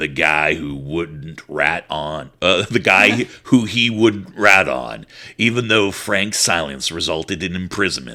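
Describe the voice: A man puts on a character voice with a dramatic tone and lively intonation. He speaks at a very slow pace.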